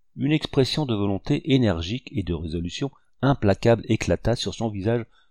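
Lively intonation over plain reading aloud

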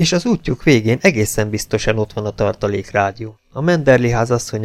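The delivery has lively intonation. It comes across as an unforced reading voice.

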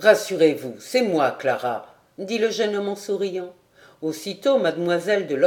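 The speaker uses plain reading aloud. The pitch moves only in an ordinary way.

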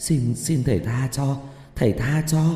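A shaky, put-on character voice from a man, medium in pitch, with a clear echo. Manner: pleading, fearful.

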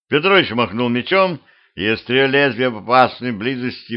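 The voice is plain reading aloud. Nothing else stands out in the delivery.

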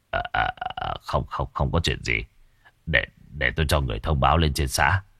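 A man does a put-on character voice with an extremely low pitch, a bright, sharp tone, lively intonation, vocal fry and a slightly husky edge. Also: moderate pace.

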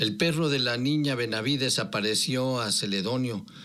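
This unforced reading voice shows ordinary pitch variation.

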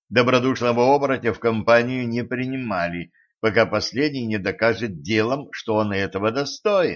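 Everything here comes in an unforced reading voice.

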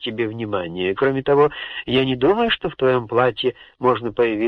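Someone reads aloud in a natural voice, the pitch moving in an ordinary way.

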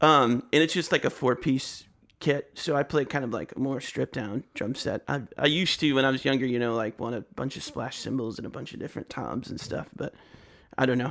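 A man talks at a fairly quick pace and medium pitch, with ordinary pitch variation and vocal fry. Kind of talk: casual chat.

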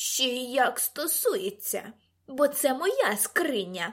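A woman uses a put-on character voice at a high pitch. She speaks at a very slow pace with very wide pitch swings. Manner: shouting.

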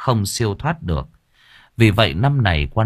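With lively intonation, a person is reading aloud in a natural voice while the background stays quiet.

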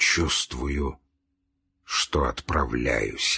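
A man uses a put-on character voice at an extremely low pitch and a very slow pace, hoarse and husky with a rough edge, breathy, with vocal fry and a bright, sharp tone. The recording is very clean, with a silent background. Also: ordinary pitch variation.

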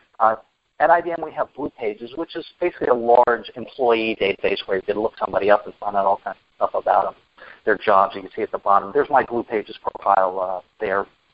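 A man talks at a fairly quick pace in an ordinary speaking voice. His pitch variation is ordinary. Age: 50s. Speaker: IT project manager and dance instructor. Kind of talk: presentation. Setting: conference call.

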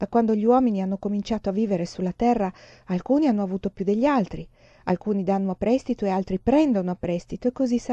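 Here is plain reading aloud. The pitch varies in an ordinary way.

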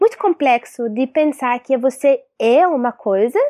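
With an Arabic accent, a woman speaks at a high pitch and a fairly slow pace, her pitch swinging very widely. The recording is very clean, with a silent background and a dry, close sound with no echo. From Syria, Palestinian refugee family. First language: Arabic (speaking Portuguese). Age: 20s. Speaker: filmmaker, activist and teacher. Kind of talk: interview. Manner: halting.

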